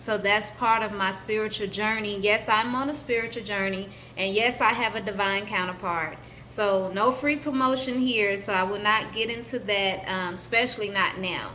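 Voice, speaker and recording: A woman with an American accent, fairly high pitch and fairly even intonation, with audible room echo. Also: moderate pace. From US South, Atlanta, Georgia. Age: 30s. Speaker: spiritual vlogger. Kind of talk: personal introduction vlog. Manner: hesitant, many fillers.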